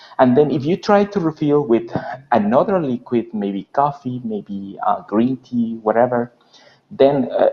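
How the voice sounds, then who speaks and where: A man with a Spanish accent speaks at a fairly slow pace, his intonation lively. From Mexico. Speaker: interviewer. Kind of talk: interview. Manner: halting.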